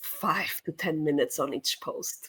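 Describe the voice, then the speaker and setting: A woman with a non-native accent. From Portugal. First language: Portuguese. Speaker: sales trainer. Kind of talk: webinar panel discussion. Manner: casual, conversational.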